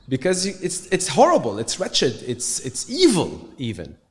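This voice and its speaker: With vocal fry and very wide pitch swings, a man speaks at a fairly slow pace in a fairly high voice. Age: 30s. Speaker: musician and entrepreneur. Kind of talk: casual conversation. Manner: halting, many fillers and repetitions.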